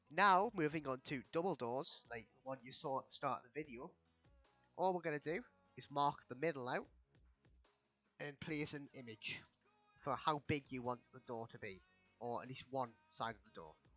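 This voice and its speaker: The pace is moderate as this man talks. Background music accompanies him. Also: ordinary pitch variation, big swings in loudness. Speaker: game tutorial creator. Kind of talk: video game tutorial narration. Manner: casual.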